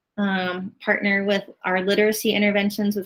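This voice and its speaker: A woman speaks at a fairly quick pace with a medium pitch. Her intonation stays flat and monotone. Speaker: school administrator. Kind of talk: virtual meeting presentation. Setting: video call. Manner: fast.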